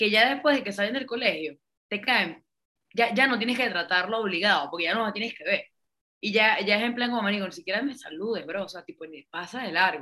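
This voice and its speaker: A woman with a Venezuelan accent, fairly high pitch, fairly quick pace, lively intonation and big swings in loudness. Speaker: podcast co-host. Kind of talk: casual chat.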